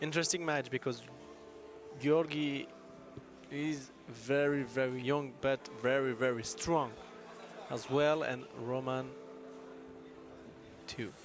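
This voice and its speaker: Over music in the background, a man in a French accent speaks at a medium pitch and a very slow pace, with fairly even intonation and long, frequent pauses. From France. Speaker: arm wrestling commentator. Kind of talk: live commentary.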